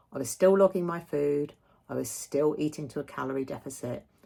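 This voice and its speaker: With a British accent, a woman talks at a moderate pace in a very deep, low voice with vocal fry and ordinary pitch variation. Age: 60s. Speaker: vlogger. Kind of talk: personal video update.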